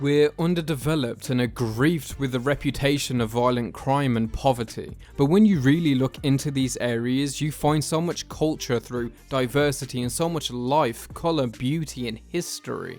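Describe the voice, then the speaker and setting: Music plays in the background as a man speaks at a moderate pace with hardly any pauses. His voice is medium in pitch with ordinary variation. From South London, England. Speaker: film critic YouTuber. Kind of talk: video essay film review.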